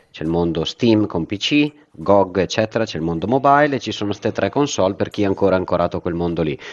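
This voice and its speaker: Speaking at a very fast pace, a man delivers his words in a very deep, low pitch. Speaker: podcast co-host. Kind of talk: casual chat.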